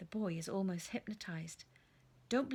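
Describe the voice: This is plain reading aloud. Nothing more stands out.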